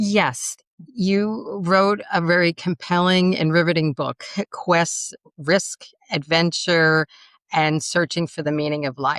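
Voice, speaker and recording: Very slowly, a woman speaks in a New York accent with fairly even intonation, and the sound is dry and close with no echo. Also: fairly low pitch for a woman. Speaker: podcast co-host, story and speech coach. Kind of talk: interview conversation.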